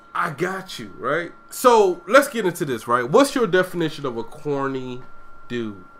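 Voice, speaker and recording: Over music in the background, the speaker goes at a fairly slow pace with big swings in loudness and very wide pitch swings. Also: man, high pitch for a man. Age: 30s. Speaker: podcast host. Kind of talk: casual chat. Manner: animated.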